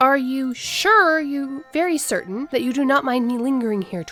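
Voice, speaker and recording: This is a put-on character voice from a woman. It sits high in pitch. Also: moderate pace. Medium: read story. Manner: formal, stilted.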